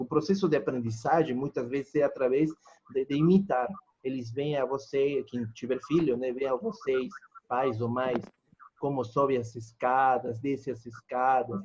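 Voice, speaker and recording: The speaker has a plain, everyday voice at a moderate pace. Pitch varies in an ordinary way. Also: man, medium pitch for a man. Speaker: pharmacology lecturer. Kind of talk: online lecture. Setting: video call class.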